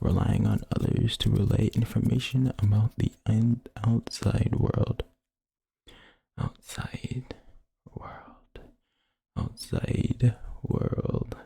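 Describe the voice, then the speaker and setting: A man whispering at a very slow pace, with long, frequent pauses. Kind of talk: ASMR wiki reading of game lore. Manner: soft, trigger-word whispering.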